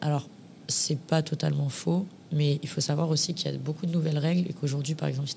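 The voice is dark and mellow, with vocal fry. It runs at a very fast pace in a flat monotone. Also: woman. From Paris. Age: 20s. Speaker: influencer and former reality TV contestant. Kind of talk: casual interview.

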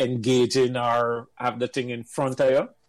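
A man with a Jamaican accent speaks at a moderate pace and a medium pitch. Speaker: engineer. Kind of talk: casual chat.

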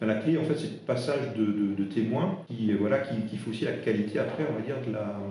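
A man with an Alsatian accent speaks at a moderate pace in a medium pitch. Audible room echo surrounds his voice. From Alsace, eastern France. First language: Alsatian (speaking French). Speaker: interim HR director. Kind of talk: interview. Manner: halting, many fillers.

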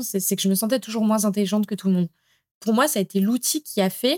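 Over a very clean recording with a silent background, a woman talks at a very fast pace with ordinary pitch variation. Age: 30s. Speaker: language school founder and author. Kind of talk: podcast interview.

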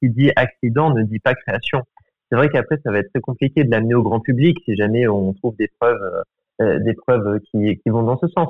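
He is a man with a plain, everyday voice and a medium pitch. His pace is moderate, and his pitch varies in an ordinary way. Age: 20s. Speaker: student. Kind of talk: casual interview.

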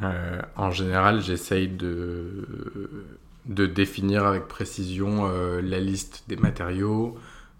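With audible room echo, a man speaks very slowly at a very deep, low pitch in a flat monotone. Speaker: interior architect. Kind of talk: interview. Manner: hesitant, many fillers.

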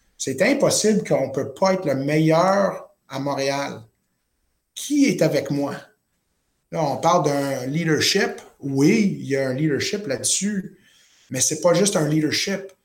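A man speaks at a very slow pace and fairly high pitch, with long, frequent pauses. His pitch varies in an ordinary way, and audible room echo surrounds him. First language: not French (speaking French). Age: 30s. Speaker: chef and entrepreneur. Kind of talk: interview. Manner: halting.

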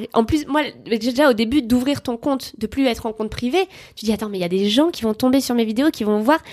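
The speech runs at a very fast pace. Its pitch variation is ordinary. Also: woman, high pitch for a woman. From France, Bordeaux. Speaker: comedian. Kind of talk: casual chat.

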